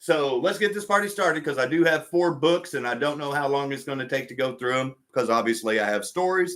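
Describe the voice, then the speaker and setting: Talking at a fairly quick pace with hardly any pauses, a man uses an unremarkable speaking voice, fairly high in pitch, with lively intonation. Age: 50s. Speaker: slot car hobby youtuber. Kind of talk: live stream casual chat. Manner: relaxed, filler-heavy.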